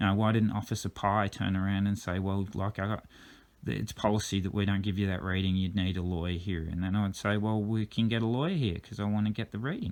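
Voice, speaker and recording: This man has a fairly low pitch. He speaks at a very fast pace. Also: fairly even intonation. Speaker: driver disputing a drink-driving case. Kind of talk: reading out text messages with commentary. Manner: halting, fumbles words; uneven pace, fast at times.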